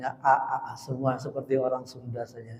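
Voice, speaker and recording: In a dark, mellow tone, a man with a fairly high pitch talks at a moderate pace. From South Kalimantan (Banjarmasin). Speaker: preacher. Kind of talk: sermon. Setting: mosque.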